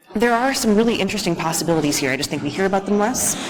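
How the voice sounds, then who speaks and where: A woman speaks with an American accent. Room echo can be heard around her voice. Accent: flat American. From United States. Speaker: security engineer, conference speaker. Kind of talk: conference talk.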